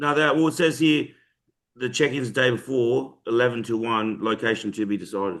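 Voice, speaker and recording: Speaking fairly quickly with an Australian accent, a man uses a medium pitch with ordinary pitch variation. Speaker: bodybuilding podcast co-host, bodybuilder. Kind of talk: casual chat. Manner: fast.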